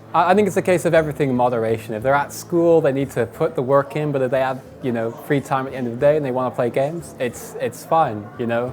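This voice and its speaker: Speaking very fast with hardly any pauses, a man holds a medium pitch with ordinary pitch variation. Noticeable background noise runs behind him. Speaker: professional esports player. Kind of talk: interview answers. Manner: halting, frequent fillers and repeats.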